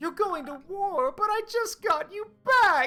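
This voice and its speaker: A woman uses a put-on character voice with an extremely high pitch. She speaks at a fairly slow pace. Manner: weird, funny, emotional.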